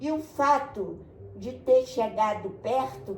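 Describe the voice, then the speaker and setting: A woman speaks very slowly in a fairly high voice with very wide pitch swings, over noticeable background noise. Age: 80s+. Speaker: retired forensic doctor and pediatrician. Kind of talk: interview answer.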